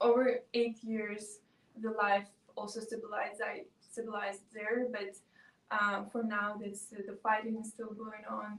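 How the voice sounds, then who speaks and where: With a Russian accent, a woman speaks fairly slowly in a fairly high, monotone, flat voice, her loudness swinging widely. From south-east Ukraine. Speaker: student intern. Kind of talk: interview. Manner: halting.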